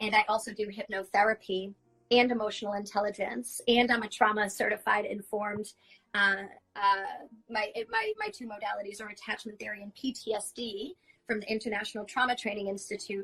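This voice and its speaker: Over music in the background, a woman speaks at a fairly quick pace, her fairly high pitch held in fairly even intonation. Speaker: shaman and hypnotherapist. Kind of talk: interview. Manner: loud.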